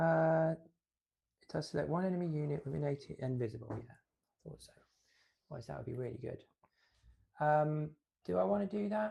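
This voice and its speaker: At a fairly quick pace broken by long, frequent pauses, a man speaks with lively intonation, his fairly high voice dark, mellow and somewhat breathy. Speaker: tabletop wargame player. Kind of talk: casual chat during a livestreamed tabletop game.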